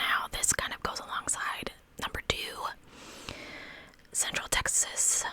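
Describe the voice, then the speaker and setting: Over noticeable background noise, a woman whispers at a fairly slow pace with long, frequent pauses. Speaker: true crime ASMR creator. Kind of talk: whispered true crime storytelling. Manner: whispered.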